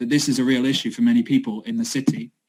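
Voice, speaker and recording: Here a man speaks at a fairly high pitch. His voice swings very widely up and down. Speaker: city sustainability project worker. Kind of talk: online talk presentation. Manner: fast.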